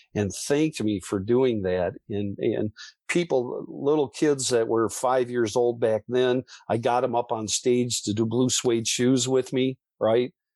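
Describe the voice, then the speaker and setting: A man speaks at medium pitch and a fairly slow pace with ordinary pitch variation. The sound is dry and close with no echo, over a quiet background. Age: 60s. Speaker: musician and author, former foster youth. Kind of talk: interview testimony. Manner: halting, with many repetitions.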